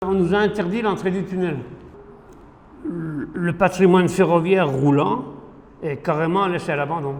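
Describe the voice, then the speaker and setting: A man speaks at a high pitch, with long, frequent pauses. Noticeable background noise runs underneath. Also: ordinary pitch variation, fairly slow pace. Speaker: heritage railway association secretary. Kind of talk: interview answer.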